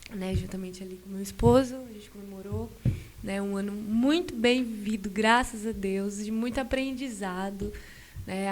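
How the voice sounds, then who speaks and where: There is audible room echo around this woman, whose pitch varies in an ordinary way. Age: 20s. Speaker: churchgoer telling her life story. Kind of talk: podcast interview testimony. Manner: hesitant, many fillers.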